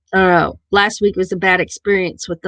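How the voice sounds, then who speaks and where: A woman speaks with a Missouri accent at a medium pitch. Her intonation stays flat and monotone. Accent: own Missouri accent, sometimes noticeable. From southern Missouri, near Arkansas border. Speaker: live stream host. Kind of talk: casual chat.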